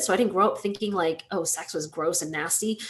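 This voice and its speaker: At a moderate pace, a woman speaks in a plain, everyday voice. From US South, Georgia (moved from Taiwan at six). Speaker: industrial designer and entrepreneur. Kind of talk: public talk with slides. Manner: casual, many filler words.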